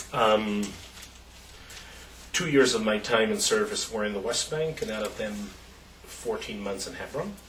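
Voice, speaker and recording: Audible room echo and noticeable background noise are present. Over them, a man speaks at a fairly quick pace. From Israel, Jerusalem. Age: 30s. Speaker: activist and former soldier. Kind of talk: interview. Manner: halting, with many fillers.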